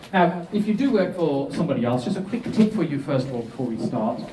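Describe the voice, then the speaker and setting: Amid noticeable background noise and audible room echo, a man's fairly high voice makes very wide pitch swings. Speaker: business and property speaker. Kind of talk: seminar presentation. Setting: stage with audience. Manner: fast; animated. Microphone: echoey microphone.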